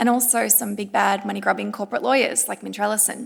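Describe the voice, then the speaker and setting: Here a woman speaks with an Australian accent. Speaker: climate law panelist. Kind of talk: panel discussion.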